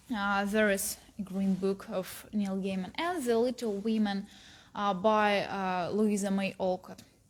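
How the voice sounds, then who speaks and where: With a Russian accent, a woman speaks at medium pitch and a fairly slow pace, her intonation fairly even. The recording is very clean, with a silent background. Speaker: philology student. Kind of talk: book recommendation talk. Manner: halting, many fillers.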